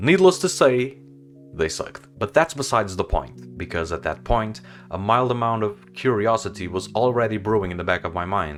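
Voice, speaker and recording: A man with a fairly low pitch speaks with a Portuguese accent and lively intonation. Music plays in the background. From Portugal. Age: 20s. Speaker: film photography vlogger. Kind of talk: personal storytelling vlog. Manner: casual.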